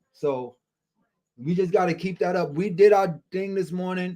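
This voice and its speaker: Moderate speed, dark and mellow in tone. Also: man. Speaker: day trading stream host. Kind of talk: live trading stream chat. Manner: loud, screaming at times.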